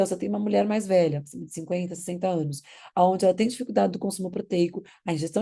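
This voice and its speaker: A woman talks at a very fast pace with vocal fry and a dark, mellow tone. Her pitch is medium with ordinary variation. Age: 40s. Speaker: nutritionist. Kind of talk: lecture. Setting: recorded online class.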